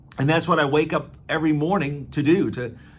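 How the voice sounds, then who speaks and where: With an American accent, a man talks at a moderate pace in a room with audible echo. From US Midwest, Aurora, Illinois. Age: 60s. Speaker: travel company owner and navy veteran. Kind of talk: promotional monologue. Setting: office. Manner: casual, with many fillers.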